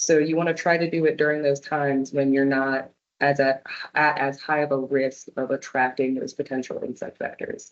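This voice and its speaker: A woman with a very deep, low pitch and monotone, flat intonation. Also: moderate pace. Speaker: arborist giving a public talk. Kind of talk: presentation with audience Q&A. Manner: casual, many fillers.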